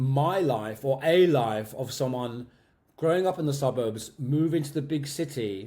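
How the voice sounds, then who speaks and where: A man with a southern English accent has a fairly high pitch, a dark, mellow tone and ordinary pitch variation. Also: fairly slow pace. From Medway, Kent, England. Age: 50s. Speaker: drag and cabaret performer. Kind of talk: interview answer.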